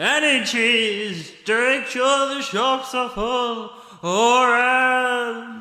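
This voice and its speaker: A man's put-on character voice, extremely high in pitch, with fairly even intonation at a very slow pace and a clear echo. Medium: audio drama. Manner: menacing, cryptic.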